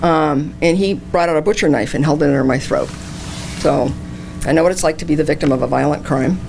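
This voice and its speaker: A woman's very deep, low voice at a very fast pace, with very even loudness, ordinary pitch variation, and noticeable background noise. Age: 60s. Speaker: political candidate. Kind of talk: campaign speech. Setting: candidates night at a senior center.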